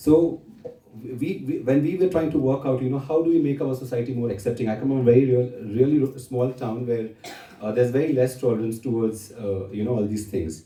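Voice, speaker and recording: A man's somewhat breathy, dark and mellow voice at a medium pitch, moderate in pace, with ordinary pitch variation. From India, Maharashtra. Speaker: poet and activist. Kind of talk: literary festival talk. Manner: halting, with many fillers.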